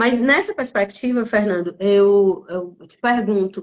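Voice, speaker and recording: A woman of medium pitch speaks in a northeastern Brazilian accent. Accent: noticeable northeastern Brazilian. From Northeast Brazil, Piauí. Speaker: lawyer and mentor hosting a live stream. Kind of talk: live-stream interview introduction. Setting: live stream from Buenos Aires. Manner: hesitant, many fillers.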